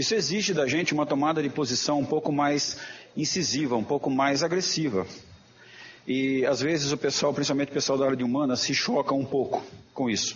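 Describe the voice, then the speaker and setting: Over noticeable background noise, a man with a fairly high pitch talks at a fairly quick pace, with ordinary pitch variation and very even loudness. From interior of São Paulo state (Jaboticabal). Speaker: professor and journal editor. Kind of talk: lecture. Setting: auditorium.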